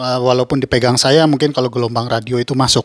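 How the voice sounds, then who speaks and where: With fairly even intonation and a medium pitch, a man's voice comes through in a dry, close sound with no echo. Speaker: YouTuber reviewing audio gear. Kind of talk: tutorial.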